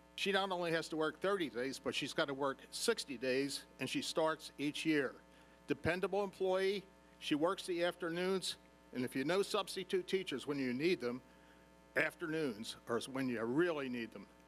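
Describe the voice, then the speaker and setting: Music plays in the background as a man with an American accent speaks at a moderate pace. His pitch is fairly high, with lively intonation. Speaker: retired lawyer and substitute teacher. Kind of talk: public comment at meeting.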